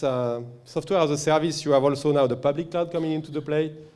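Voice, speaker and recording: A man speaks with fairly high pitch. Room echo is audible. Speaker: company representative presenting at a conference. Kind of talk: conference presentation. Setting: conference stage with audience. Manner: halting, many fillers.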